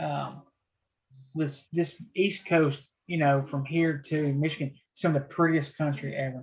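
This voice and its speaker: Somewhat breathy and fairly high-pitched, a man talks with a Southern US accent in monotone, flat intonation. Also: fairly slow pace. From US South, southeast Tennessee near Chattanooga. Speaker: trading teacher running a chat room. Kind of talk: casual live trading video chat. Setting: video call.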